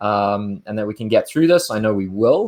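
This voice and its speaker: A fairly quick pace, ordinary pitch variation and a South African accent. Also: man. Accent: South African, smooth. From South Africa, Cape Town. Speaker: winemaker. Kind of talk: interview. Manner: halting, with frequent fillers and repeats.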